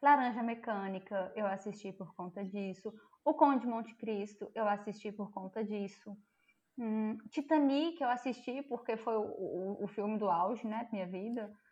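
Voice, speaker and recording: This woman's voice is fairly high. Her pitch moves in an ordinary way. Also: fairly slow pace. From Brazil, interior of Minas Gerais. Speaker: psychologist. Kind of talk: casual chat. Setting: remote call.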